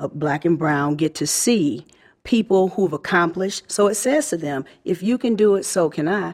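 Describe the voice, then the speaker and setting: In a very clean recording with a silent background, a woman with an ordinary speaking voice talks at a moderate pace with ordinary pitch variation. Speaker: librarian. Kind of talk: conference interview. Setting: live at conference.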